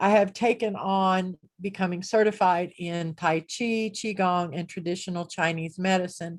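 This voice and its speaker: This woman has an unremarkable speaking voice with a medium pitch and fairly even intonation. She keeps a moderate pace with hardly any pauses. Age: 60s. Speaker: spiritual teacher. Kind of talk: online group talk. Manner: casual, conversational with fillers.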